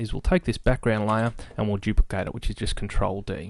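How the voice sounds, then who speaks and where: Against a quiet background, a man speaks with lively intonation. His is an unremarkable speaking voice, medium in pitch. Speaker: software tutorial maker. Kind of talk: screen-recorded tutorial.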